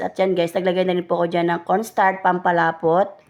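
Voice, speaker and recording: The pitch of this woman sits at a medium level. She keeps up a fairly quick pace. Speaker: cooking vlogger. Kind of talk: voice-over narration. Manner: polite, casual.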